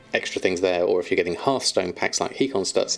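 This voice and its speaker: A man with a southern English accent, with music in the background. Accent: generic southern English. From southern England. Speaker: streamer. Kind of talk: live stream chat. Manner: hesitant with frequent fillers.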